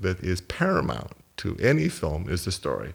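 The man talks at a fairly slow pace. His voice has vocal fry. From Portland, Oregon (US Pacific Northwest), born in Vancouver. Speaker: film production designer. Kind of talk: interview. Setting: in his home. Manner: halting, with repetitions.

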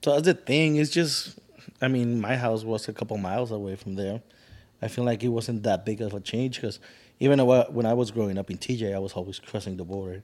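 A man's normal speaking voice in an American accent, medium in pitch, with ordinary pitch variation and a fairly quick pace. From US-born, raised partly in Mexico. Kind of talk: casual chat.

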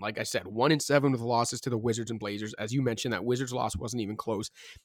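This man talks in an animated tone. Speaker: basketball podcast host. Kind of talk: casual sports podcast discussion. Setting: studio podcast. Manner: animated, joking.

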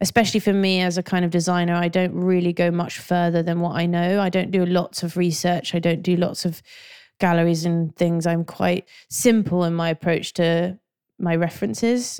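A woman in a London accent with a fairly low pitch, monotone, flat intonation and a moderate pace, in a very clean recording with a silent background. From North London. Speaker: graphic designer and art director. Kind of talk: interview.

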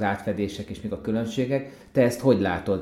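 At a fairly quick pace, a man with a medium pitch speaks in a dark, mellow tone. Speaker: podcast host. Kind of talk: interview.

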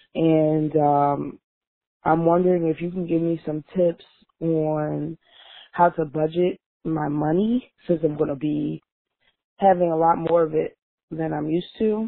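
Someone with an American accent speaks at a fairly slow pace, leaving long, frequent pauses. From Philadelphia. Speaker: listener leaving voicemail. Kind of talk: voicemail message. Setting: phone voicemail.

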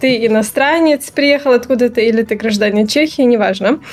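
Noticeable background noise sits behind a woman speaking at a moderate pace. Her voice is high-pitched with ordinary pitch variation. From Belarus. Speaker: game design graduate. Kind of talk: interview.

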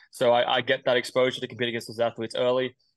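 Against a quiet background, a man with an Australian accent and a medium pitch talks at a very fast pace. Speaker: middle-distance runner. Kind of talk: interview.

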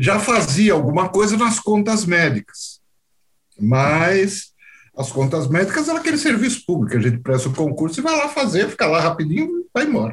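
This man talks at a moderate pace with a high pitch and very wide pitch swings. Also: very even loudness. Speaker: medical auditor, former orthopedic surgeon. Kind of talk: interview.

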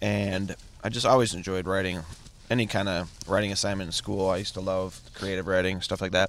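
An American man with a very deep, low pitch talks at a fairly quick pace in a monotone, flat intonation. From Chicago area. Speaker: stand-up comedian. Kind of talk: casual chat. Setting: in a car.

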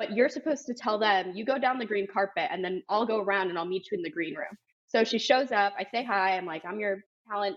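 A plain, everyday voice: a woman with an American accent, medium pitch, ordinary pitch variation and a fairly quick pace. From South Florida. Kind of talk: casual chat.

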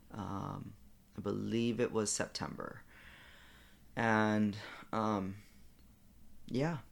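Very slowly and with long, frequent pauses, a man speaks at a fairly low pitch. His intonation stays fairly even amid audible room echo. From Hawaii. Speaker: former professional golfer. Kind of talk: casual chat. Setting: hotel room. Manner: halting, many fillers.

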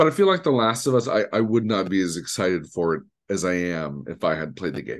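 A very fast American accent with vocal fry and very wide pitch swings, over a quiet background. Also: man. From Detroit, Michigan. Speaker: podcast host and streamer. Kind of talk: casual chat. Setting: video call. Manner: animated.

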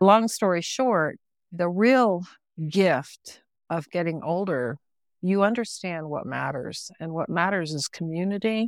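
Speaking at a fairly slow pace with lively intonation and an American accent, this is an ordinary speaking voice captured in a very clean recording with a silent background. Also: woman, fairly low pitch for a woman. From US South, West Virginia. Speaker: filmmaker. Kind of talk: interview.

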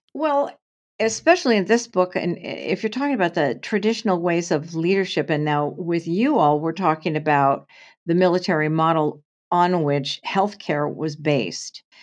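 An unremarkable speaking voice from a woman with an American accent and a fairly low pitch, at a moderate pace against a quiet background. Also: lively intonation. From US Pacific Northwest, Portland, Oregon. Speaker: nurse, actor and author. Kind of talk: interview conversation.

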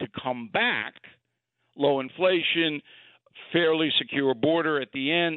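Here a man with fairly high pitch and an unremarkable speaking voice talks at a fairly slow pace with lively intonation. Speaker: political commentator. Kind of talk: casual chat.

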